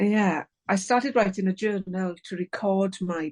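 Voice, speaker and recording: A woman with an English accent speaks at a medium pitch and a moderate pace. The sound is dry and close with no echo, over a quiet background. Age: 60s. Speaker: author. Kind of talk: interview. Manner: halting.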